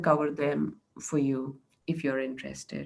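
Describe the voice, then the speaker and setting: A woman's voice in a Marathi accent. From India, Maharashtra. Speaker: meetup speaker. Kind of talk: presentation.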